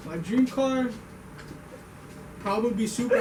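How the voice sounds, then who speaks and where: With audible room echo and noticeable background noise, a man talks at a moderate pace with fairly even intonation. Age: 20s. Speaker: car enthusiast group member. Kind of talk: casual self-introduction.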